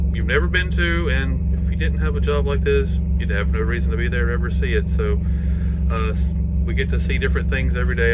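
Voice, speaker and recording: Someone speaks at a very fast pace. Loud background noise is present. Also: man. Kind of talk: casual vlog chat. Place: home room. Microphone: phone near.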